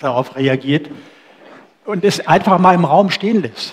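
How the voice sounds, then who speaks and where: The man keeps a moderate pace while his pitch varies in an ordinary way. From Germany, near former GDR. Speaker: event moderator. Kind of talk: moderated discussion. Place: cafe. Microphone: headset.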